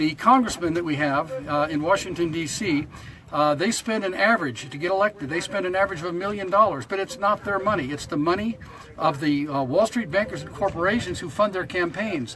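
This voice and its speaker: A high-pitched man at a fairly quick pace, with ordinary pitch variation, over noticeable background noise. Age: 70s. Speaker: protester. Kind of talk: casual chat.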